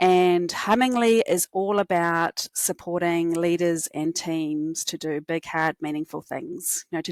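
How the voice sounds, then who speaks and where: A woman talks at a fairly slow pace in a strong New Zealand accent, her pitch fairly low with ordinary variation. The sound is dry and close, with no echo. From New Zealand, Christchurch. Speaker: cognitive scientist, company executive. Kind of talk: podcast interview.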